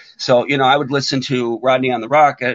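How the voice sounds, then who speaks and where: This man speaks at a medium pitch with ordinary pitch variation. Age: 60s. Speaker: punk band singer. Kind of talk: casual interview chat. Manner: halting, many fillers.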